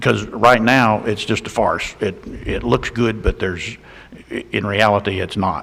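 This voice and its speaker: Speaking at a moderate pace, the man has a Georgia accent and a fairly low pitch. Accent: Georgia Southern US. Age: 60s. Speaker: county commissioner. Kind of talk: public meeting discussion. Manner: halting.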